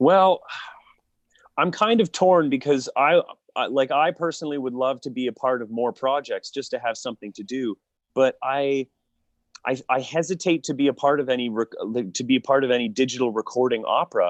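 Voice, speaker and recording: A man with a Canadian accent, a normal speaking voice, medium pitch and a moderate pace, against a quiet background. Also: ordinary pitch variation. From Niagara Falls, Ontario, Canada. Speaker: opera singer, baritone. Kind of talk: interview answer.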